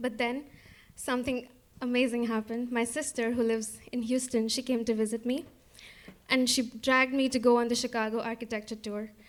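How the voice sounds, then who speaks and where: Fairly quick, monotone speech from a woman with a high pitch, in an Indian accent, her intonation flat. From India, Kolkata. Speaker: storyteller. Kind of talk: personal storytelling.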